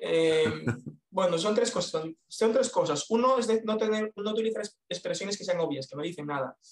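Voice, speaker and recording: This man talks at a moderate pace in a high voice. His intonation is lively. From Galicia, Spain (A Coruña). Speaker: copywriter. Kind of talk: interview.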